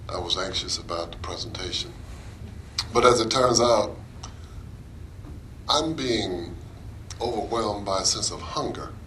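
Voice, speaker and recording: With an American accent, a man speaks at a fairly slow pace with ordinary pitch variation, amid noticeable background noise and audible room echo. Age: 60s. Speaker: anti-racism presenter. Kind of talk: presentation.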